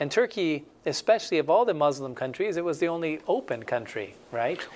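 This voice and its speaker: Pitched fairly high, a man talks at a fairly quick pace with very wide pitch swings. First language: Spanish. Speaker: missionary. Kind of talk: interview testimony.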